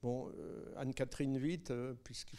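Here a man speaks at a medium pitch, his tone dark and mellow. His intonation stays fairly even. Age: 70s. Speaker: film director. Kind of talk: Q&A after film screening. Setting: cinema screening with audience.

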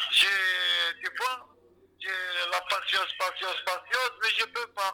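A man speaks at a very slow pace. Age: 50s. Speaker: detainee. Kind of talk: testimony. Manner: agitated; halting.

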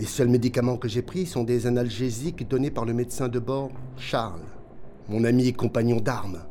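With an ordinary speaking voice, the man holds a moderate pace and medium pitch, and his pitch variation is ordinary. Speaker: submarine captain character. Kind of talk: scripted audio drama, first-person log narration. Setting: recording his log on a tape recorder. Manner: formal, measured, calm, grave and reflective.

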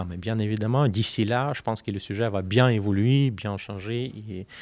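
Very slowly, a man speaks in a fairly low voice with fairly even intonation. The recording is very clean, with a silent background. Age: 30s. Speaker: PhD student and security researcher. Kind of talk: interview. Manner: halting, many hesitations and repetitions.

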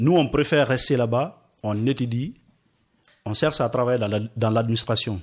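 A man talks fairly slowly at medium pitch, his pitch varying in an ordinary way. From Guinea, Forest Guinea region. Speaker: asylum seeker, radio workshop participant. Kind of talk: discussion. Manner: hesitant.

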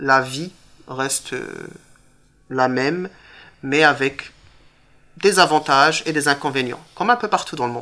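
Delivery is at a fairly slow pace, broken by long, frequent pauses. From Morocco, moved to northern France (Tourcoing) at 10. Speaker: teacher. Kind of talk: interview with school pupils.

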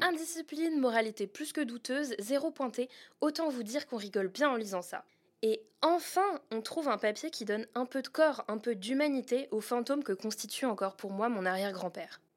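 In a very clean recording with a silent background, a woman speaks at a moderate pace with high pitch and lively intonation. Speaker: podcast host and narrator. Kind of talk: true-crime narration, first-person investigative storytelling. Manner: intimate, conversational and lightly wry, with vivid scene-setting and hesitant asides.

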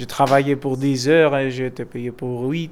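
A man speaks with a Greek accent. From Greece. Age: 30s. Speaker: activist. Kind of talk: interview. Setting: apartment in Athens. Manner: halting.

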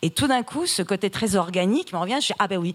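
A woman talks very fast in an animated tone with ordinary pitch variation. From Iran, raised in France from age 8. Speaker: writer. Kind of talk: literary panel discussion.

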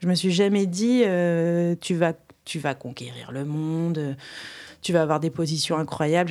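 A normal speaking voice from a woman, fairly low in pitch, fairly slow, with ordinary pitch variation. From France, Reims. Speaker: storyteller and creative. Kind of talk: casual interview conversation.

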